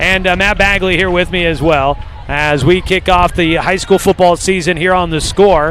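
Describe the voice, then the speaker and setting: Over noticeable background noise, a man speaks with a high pitch. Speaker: play-by-play radio announcer. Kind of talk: live sports commentary. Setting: press box at a stadium, outdoors. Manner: fast.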